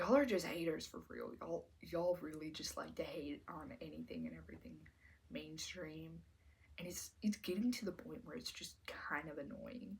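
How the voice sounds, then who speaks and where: A soft-spoken woman at a moderate pace, with big swings in loudness and long, frequent pauses. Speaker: commentary YouTuber. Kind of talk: casual vlog commentary.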